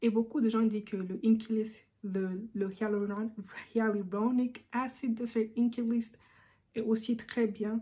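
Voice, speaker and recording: A woman speaks with a fairly high, somewhat breathy voice with a dark, mellow tone in a monotone, flat way. Her pace is fairly slow, with long, frequent pauses. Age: 20s. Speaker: beauty YouTuber. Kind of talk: casual talk to camera.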